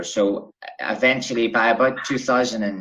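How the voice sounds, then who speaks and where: Ordinary pitch variation in a Northern Irish accent. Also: man. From Bangor, Northern Ireland. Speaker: travel writer. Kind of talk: interview answer.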